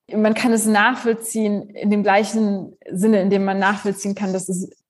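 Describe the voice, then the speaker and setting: A woman speaks at medium pitch and a moderate pace in a somewhat breathy voice. Her intonation is monotone and flat, over a quiet background. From Germany. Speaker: philosophy professor. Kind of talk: interview.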